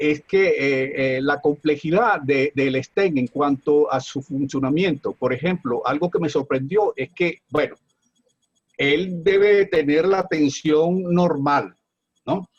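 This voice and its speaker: A man with fairly high pitch speaks at a very slow pace, in a dry, close sound with no echo. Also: ordinary pitch variation. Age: 70s. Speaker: audience member asking a question. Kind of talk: question at a seminar. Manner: halting, many fillers.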